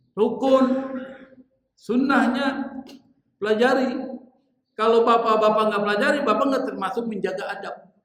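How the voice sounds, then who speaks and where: Amid audible room echo, a man with an extremely high pitch speaks with fairly even intonation and long, frequent pauses. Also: moderate pace. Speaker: Islamic preacher. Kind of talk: sermon. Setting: mosque congregation after dawn prayer. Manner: conversational, addresses audience directly.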